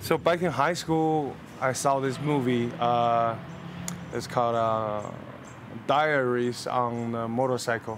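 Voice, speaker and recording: With audible room echo behind him, a man speaks very slowly at a medium pitch with fairly even intonation and long, frequent pauses. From northeast China, Jilin Province. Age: 20s. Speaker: civil aviation professional, interview guest. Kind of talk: interview. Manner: hesitant, many fillers.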